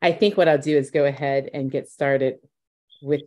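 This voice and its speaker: At a moderate pace and with fairly even intonation, a woman with an American accent speaks at a very deep, low pitch against a quiet background. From US South. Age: 40s. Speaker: interviewer. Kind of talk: interview. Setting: video call. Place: home room. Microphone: video call.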